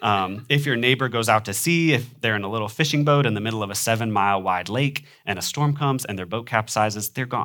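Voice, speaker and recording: A man with an American accent at a very fast pace with hardly any pauses, medium pitch, ordinary pitch variation and a bright, sharp tone. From US Midwest. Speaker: preacher. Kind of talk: sermon. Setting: church. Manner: frequent filler ums.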